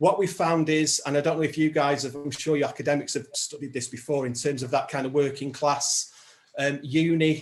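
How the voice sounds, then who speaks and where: A man talks fairly quickly in a northern English accent, his pitch fairly high and somewhat breathy. His intonation stays monotone and flat. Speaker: social enterprise founder, former music professional. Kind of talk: evidence session testimony. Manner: hesitant, many fillers.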